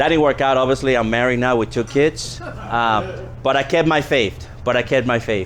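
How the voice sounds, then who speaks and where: A man speaks at a moderate pace while noticeable noise fills the background. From US East Coast, born in the Dominican Republic. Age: 40s. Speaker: political candidate and Marine veteran. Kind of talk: campaign speech.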